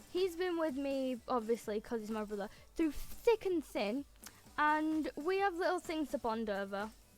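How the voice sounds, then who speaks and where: With an English accent, a woman talks at a moderate pace in a high pitch. Her pitch swings very widely. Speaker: gaming YouTuber. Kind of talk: casual gameplay commentary. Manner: animated.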